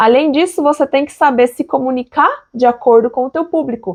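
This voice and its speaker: The speech moves at a fairly quick pace with ordinary pitch variation, sounding dry and close with no echo. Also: woman. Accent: Brazilian. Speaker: engineer and online educator. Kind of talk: sales pitch. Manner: conversational, direct address.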